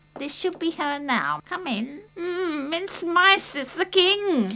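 A woman's cartoonish character voice, extremely high in pitch and very slow. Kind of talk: children's puppet play. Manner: cheeky, punning, says meow.

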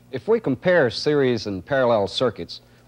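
A man speaks at a moderate pace, his pitch swinging very widely up and down. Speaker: training film narrator. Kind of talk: 1970s military training film narration: scripted, formal, instructional voice-over. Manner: formal, measured, even-toned and authoritative. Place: studio. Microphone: old recording.

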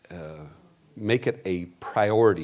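At a very slow pace, a man talks in a fairly low pitch with ordinary pitch variation. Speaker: pastor. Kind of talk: church announcements before a sermon. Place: church.

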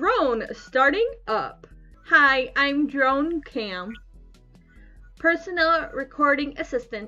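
A woman's put-on, robotic character voice, high-pitched and very slow with long, frequent pauses, with faint music in the background

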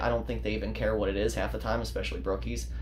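Light background noise sits under a man's speech. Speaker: fishing channel host. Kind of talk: casual vlog chat. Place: home room. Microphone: phone near.

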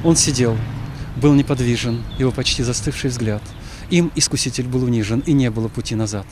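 Noticeable background noise sits behind a man's medium-pitched voice. He speaks with fairly even intonation and long, frequent pauses. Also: moderate pace. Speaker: Orthodox archpriest. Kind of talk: poetry reading.

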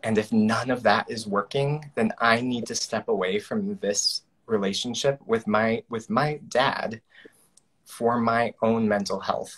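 Over a quiet background, a man speaks with an American accent. His pace is fairly slow and his intonation fairly even. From rural Nebraska. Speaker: storytelling coach and event emcee; storytelling coach, event emcee. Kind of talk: casual interview on video call. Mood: earnest, emotional personal story. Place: home room. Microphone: video call.

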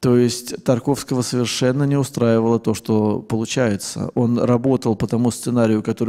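Over a quiet background, a man's medium-pitched voice carries a dark, mellow tone and stays monotone and flat. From Russia, Saint Petersburg; Russia. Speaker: film scholar and writer. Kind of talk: lecture. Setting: stage with audience. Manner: hesitant fillers, discursive. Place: hall. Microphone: handheld.

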